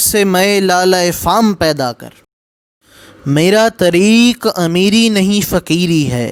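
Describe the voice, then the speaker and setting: A man speaks in a high pitch, varying it in an ordinary way. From Pakistan. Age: young. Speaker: poetry reciter. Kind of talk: poetry reading.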